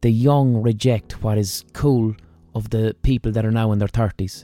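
A man with an Irish accent speaks at a medium pitch, his intonation fairly even and his tone dark and mellow. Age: 30s. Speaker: podcast host. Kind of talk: monologue. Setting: studio.

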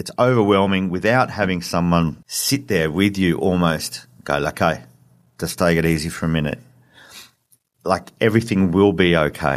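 With an Australian accent and a very deep, low pitch, a man speaks in a very clean recording with a silent background. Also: ordinary pitch variation, moderate pace. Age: 40s. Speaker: dad running a divorced-dads website. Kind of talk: interview. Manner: halting.

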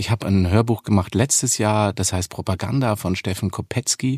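Speaking at a fairly quick pace with a slight Bavarian accent and ordinary pitch variation, a man sounds dry and close with no echo on a very clean recording with a silent background. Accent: faint Bavarian. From Munich, Bavaria. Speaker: actor and voice actor. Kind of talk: interview.

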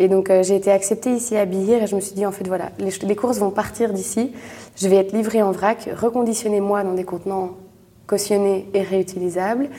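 Speaking at a fairly quick pace, a woman keeps a medium pitch with monotone, flat intonation. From Belgium, Brussels. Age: 20s. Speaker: entrepreneur. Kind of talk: interview. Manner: halting.

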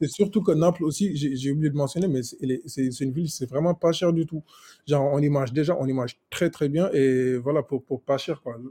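Somewhat breathy and dark, mellow in tone, a man speaks at a moderate pace and fairly high pitch with ordinary pitch variation, the sound dry and close with no echo. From Senegal. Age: 20s. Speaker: software engineer, travel guest. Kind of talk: casual chat. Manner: halting, many repetitions.

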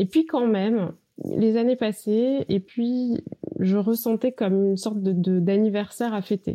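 A woman with a dark, mellow tone and medium pitch talks at a moderate pace, using ordinary pitch variation. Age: 40s. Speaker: marketing executive and business coach. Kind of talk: interview.

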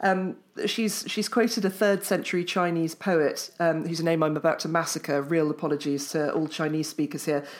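A woman with an English accent speaks at a moderate pace with hardly any pauses, her pitch fairly low and ordinary in variation. The recording is very clean, its background silent. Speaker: author and journalist. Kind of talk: casual chat.

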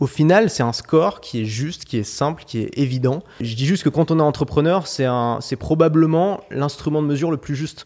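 At a moderate pace with hardly any pauses, a man speaks in a plain, everyday voice. His pitch is fairly high, with ordinary pitch variation. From France, Paris. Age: 20s. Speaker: online course entrepreneur. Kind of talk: interview.

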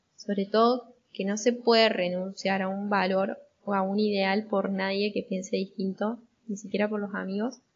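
With an Argentine accent, a woman talks at a moderate pace and medium pitch in a monotone, flat intonation. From Argentina. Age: 20s. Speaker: storyteller sharing a family memory. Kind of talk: personal storytelling.

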